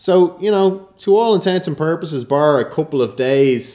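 Here a man speaks in an Irish accent with a dark, mellow tone. His pace is moderate and his pitch variation ordinary. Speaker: actor and film director. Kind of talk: casual interview.

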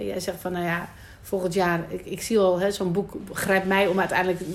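Her voice sits at a medium pitch and keeps a monotone, flat intonation throughout. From Netherlands, Amsterdam Noord. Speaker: podcast host. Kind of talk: casual interview. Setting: rooftop in Amsterdam.

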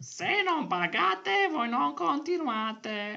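A put-on character voice, fairly high in pitch, with very wide pitch swings. It moves at a very slow pace. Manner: improvised, comic.

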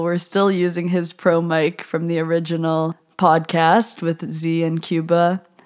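A woman's plain, everyday voice, fairly low in pitch, with an American accent and fairly even intonation. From United States. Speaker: podcast host and university student. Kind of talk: casual chat, podcast conversation.

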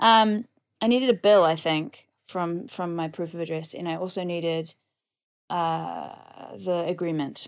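A woman with a New Zealand accent speaks at a fairly slow pace with long, frequent pauses and a fairly low pitch. The background is quiet. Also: ordinary pitch variation. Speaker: podcast host, digital nomad. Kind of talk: casual solo podcast monologue.

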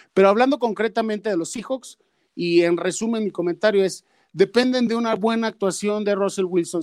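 Man with a high pitch and ordinary pitch variation at a fairly quick pace, dry and close with no echo, on a very clean recording with a silent background. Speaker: football analyst. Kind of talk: casual chat.

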